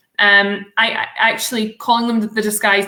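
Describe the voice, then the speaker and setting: The voice has a bright, sharp tone and moves at a fairly quick pace, its intonation monotone and flat. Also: woman. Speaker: solicitor, law firm founder. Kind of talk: interview. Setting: live stream. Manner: casual, hesitant with many fillers.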